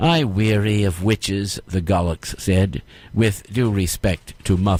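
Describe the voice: The speaker reads plainly aloud with fairly even intonation.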